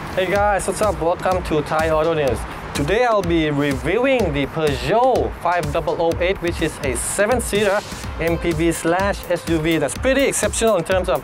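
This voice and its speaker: A high-pitched man speaking fairly slowly, with ordinary pitch variation, over clear music in the background. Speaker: car reviewer. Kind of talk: car review presentation. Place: street.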